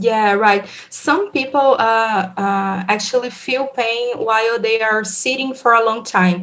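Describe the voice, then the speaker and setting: A woman's fairly high voice in a Portuguese accent, fairly slow with hardly any pauses. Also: fairly even intonation. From Brazil. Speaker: physiotherapist researcher. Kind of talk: interview. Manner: halting, hesitant.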